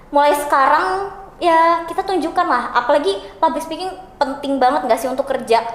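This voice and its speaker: High-pitched, a woman speaks with audible room echo. Noticeable background noise is also present. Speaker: law student. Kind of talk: casual podcast chat. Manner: talkative.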